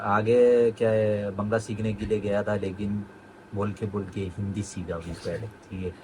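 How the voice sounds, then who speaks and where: A man with a fairly low pitch and monotone, flat intonation, over noticeable background noise. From Kerala, India. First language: Malayalam (speaking Hindi). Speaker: medical student. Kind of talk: interview.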